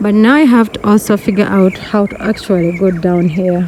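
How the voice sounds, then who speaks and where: Someone with a non-native accent talks at a very slow pace. Noticeable background noise runs underneath. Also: woman. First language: not English. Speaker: vlogger. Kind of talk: casual vlog narration. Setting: outdoors. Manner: animated.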